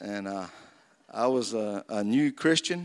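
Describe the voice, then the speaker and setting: Against a silent background in a very clean recording, a man talks at a medium pitch. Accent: Southern US. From North Florida. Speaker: war veteran. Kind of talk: testimony. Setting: church.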